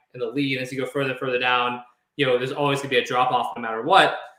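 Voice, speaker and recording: The man's voice has a bright, sharp tone. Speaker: copywriter. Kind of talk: interview. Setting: live video stream. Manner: fast; energetic.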